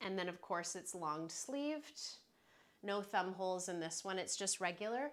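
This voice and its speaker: A woman talks at a moderate pace and medium pitch in an unremarkable speaking voice. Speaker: online shopping influencer and livestream host. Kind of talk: live product showcase livestream. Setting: livestream. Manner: casual, chatty with filler words.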